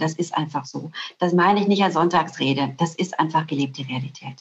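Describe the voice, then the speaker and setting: This is a plain, everyday voice. It keeps a moderate pace. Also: woman. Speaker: corporate communications executive. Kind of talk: interview.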